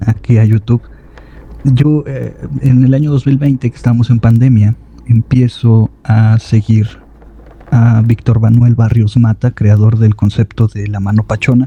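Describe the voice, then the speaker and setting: Soft-spoken and monotone, a man at medium pitch speaks fairly slowly in a dry, close sound with no echo, with noticeable background noise. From Mexico. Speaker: horror story narrator. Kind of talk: casual chat.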